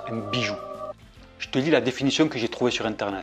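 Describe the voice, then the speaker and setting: A man's voice sits at a medium pitch. Behind him, there is music. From southern France. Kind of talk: casual talk to camera.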